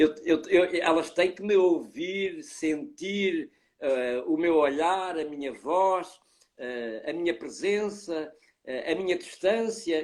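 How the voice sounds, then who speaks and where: A man with a European Portuguese accent speaks at a high pitch. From Portugal. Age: 70s. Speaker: professor of child development. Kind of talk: interview.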